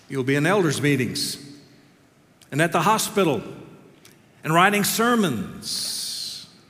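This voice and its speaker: Lively intonation and very even loudness at a fairly slow pace, with long, frequent pauses and noticeable background noise. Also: man, high pitch for a man. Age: 60s. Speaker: seminary professor preaching. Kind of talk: sermon. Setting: chapel with audience.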